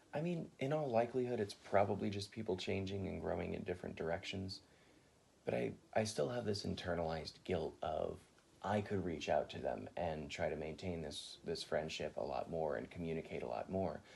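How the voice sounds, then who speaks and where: Speaking at a fairly quick pace, a man uses a very deep, low pitch marked by vocal fry. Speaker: college student. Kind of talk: interview answer.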